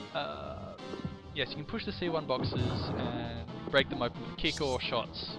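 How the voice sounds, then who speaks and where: With music in the background, the voice moves in lively intonation. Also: man. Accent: Australian. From Australia. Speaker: let's play gamer. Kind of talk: video game commentary.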